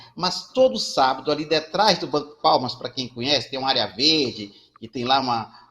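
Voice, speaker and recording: Here is a man with a normal speaking voice, pitched fairly high. He talks at a moderate pace with lively intonation. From Brazil, Ceará (Fortaleza). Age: 60s. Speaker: community banker and social entrepreneur. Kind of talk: panel discussion.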